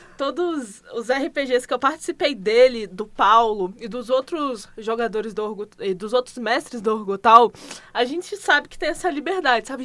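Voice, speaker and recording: With a bright, sharp tone and a high pitch, a woman talks at a moderate pace, her intonation lively and her loudness swinging widely. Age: 20s. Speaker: tabletop game master. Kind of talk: casual chat.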